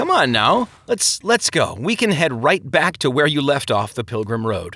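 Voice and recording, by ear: A man does a put-on character voice at medium pitch and a moderate pace. The tone is bright and sharp with a slightly husky edge and big pitch swings.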